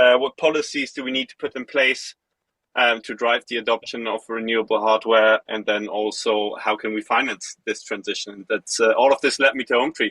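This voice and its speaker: A medium-pitched man with a German accent talks at a fairly quick pace with fairly even intonation and a bright, sharp tone in a dry, close sound with no echo. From Germany, Hamburg. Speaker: energy company employee. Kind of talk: interview. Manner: hesitant, many fillers.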